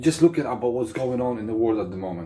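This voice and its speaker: Over music in the background, a man speaks at a medium pitch with a non-native accent. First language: not English. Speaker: vlogger. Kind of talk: opinion rant to camera. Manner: animated.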